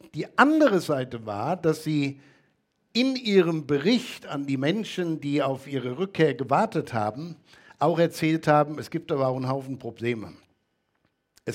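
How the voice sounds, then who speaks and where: A man in a plain, everyday voice, fairly high-pitched, with lively intonation at a moderate pace, on a very clean recording with a silent background. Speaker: preacher. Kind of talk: sermon. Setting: church. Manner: earnest, teacherly, steady.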